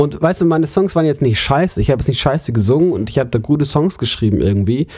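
Somewhat breathy and dark, mellow in tone, a man races at a very fast pace with lively intonation. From Germany, Munich. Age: 20s. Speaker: podcast co-host, theology student. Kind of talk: casual chat.

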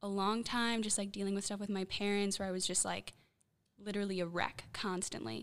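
This is a woman speaking. She talks with a Chicago accent. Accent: Chicago American. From US Midwest, Chicago. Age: 20s. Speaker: young guest from discipleship program. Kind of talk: casual chat. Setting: studio.

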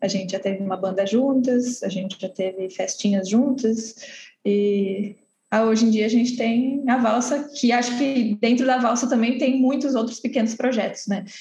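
In an ordinary speaking voice, a woman talks at a moderate pace and fairly high pitch with hardly any pauses. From Santos, São Paulo coast, Brazil. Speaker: cultural venue co-founder. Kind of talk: interview.

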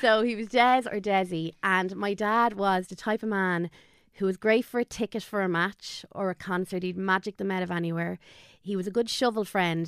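In a Dublin accent, a woman talks at a fairly quick pace with fairly even intonation. The sound is dry and close with no echo. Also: very clean recording, silent background. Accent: Dublin Irish. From Dublin, Ireland. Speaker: guest, online content creator. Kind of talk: casual interview, emotional storytelling.

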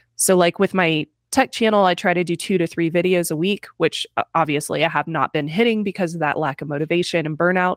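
An unremarkable speaking voice, a woman's with an American accent, goes at a fairly quick pace with hardly any pauses and ordinary pitch variation, in a dry, close sound with no echo on a very clean recording with a silent background. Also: fairly low pitch for a woman. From US Midwest, Missouri. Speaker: tech YouTuber. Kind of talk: casual chat.

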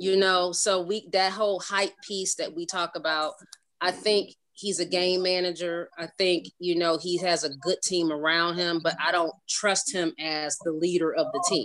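A woman's fairly low voice, an ordinary speaking voice with an American accent, at a moderate pace with fairly even intonation. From Cleveland, Ohio. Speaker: sports fan guest, mother of football players. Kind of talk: casual chat.

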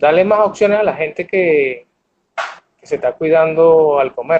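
Fairly even intonation at a fairly slow pace. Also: man. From Venezuela, Barquisimeto (Lara state). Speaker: chef and restaurant owner. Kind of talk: interview.

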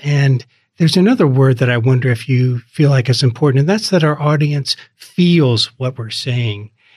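At a moderate pace, a man speaks in a somewhat breathy voice of medium pitch with ordinary pitch variation. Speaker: podcast host. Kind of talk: interview conversation. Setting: studio.

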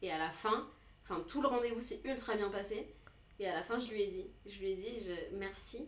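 Audible room echo surrounds a woman speaking at a moderate pace. Her pitch is medium with ordinary pitch variation. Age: 30s. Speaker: tattoo artist. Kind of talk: casual chat.

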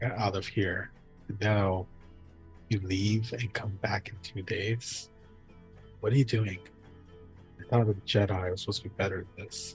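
Clear music plays in the background as a man does a gruff, put-on character voice at a fairly low pitch, keeping a moderate pace broken by long, frequent pauses. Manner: gruff, curt.

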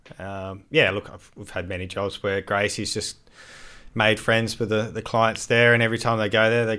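A man with an Australian accent, a bright, sharp tone and fairly low pitch, monotone, flat intonation, big swings in loudness and a fairly quick pace. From Adelaide, South Australia. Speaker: landscaping business owner. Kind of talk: casual chat.

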